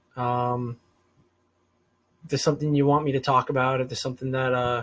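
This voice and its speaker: A man with an American accent, medium in pitch, very fast, with monotone, flat intonation. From US Northeast, Rhode Island. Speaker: political commentary vlogger. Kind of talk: unscripted solo monologue. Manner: hesitant, filler-heavy, some stuttering.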